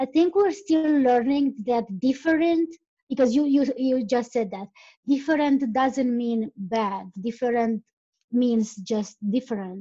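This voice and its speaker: A woman speaks at a fairly slow pace with a Romanian accent. Her voice is high-pitched, with a dark, mellow tone. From Romania (Transylvania). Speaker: podcaster, travel guest. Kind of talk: casual chat. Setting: online call.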